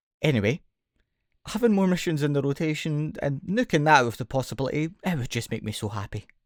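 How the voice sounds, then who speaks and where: A man with a Scottish accent speaks fairly quickly at a fairly high pitch, his intonation lively. The recording is very clean, with a silent background and a dry, close sound with no echo. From Scotland. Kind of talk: gaming commentary.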